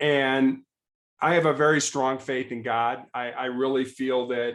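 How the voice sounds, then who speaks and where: A man speaks very slowly in a flat monotone, his pitch medium, with an American accent. The background is quiet. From Chicago, US Midwest. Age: 60s. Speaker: cancer patient and former law enforcement officer. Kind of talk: podcast interview, personal story.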